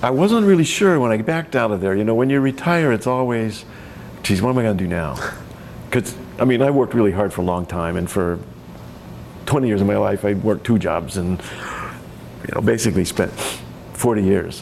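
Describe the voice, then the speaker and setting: A man at a fairly quick pace with lively intonation and long, frequent pauses, against noticeable background noise. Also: fairly low pitch for a man. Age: 60s. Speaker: winemaker and retired enology instructor. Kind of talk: oral history interview. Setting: library.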